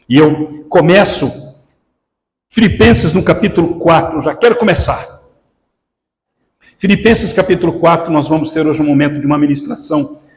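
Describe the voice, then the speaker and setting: The speaker talks at a moderate pace with lively intonation. Audible room echo is present. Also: man, long, frequent pauses. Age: 60s. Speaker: pastor. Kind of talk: sermon.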